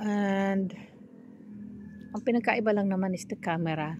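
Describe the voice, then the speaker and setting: On a very clean recording with a silent background, a woman's somewhat breathy voice sits at a medium pitch with fairly even intonation. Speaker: vlogger. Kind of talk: casual vlog walk-through. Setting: outdoors at night, walking on the street. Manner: casual, halting with fillers.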